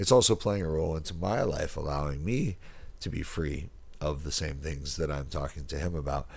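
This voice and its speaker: His voice is very deep and low, with vocal fry. This man talks at a fairly quick pace with ordinary pitch variation. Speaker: podcast host and life coach. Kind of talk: solo motivational monologue. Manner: casual with many fillers.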